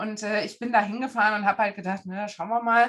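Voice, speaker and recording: A woman speaks in a normal speaking voice. Her pitch is fairly high, with ordinary variation. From Germany, Frankfurt am Main. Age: 40s. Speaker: face reader. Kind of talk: casual interview.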